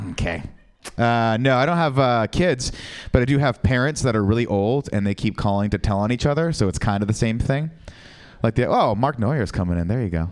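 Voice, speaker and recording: In a normal speaking voice at medium pitch, a man talks at a fairly quick pace with lively intonation. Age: 30s. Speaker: stand-up comedian. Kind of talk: stand-up. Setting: stage with audience.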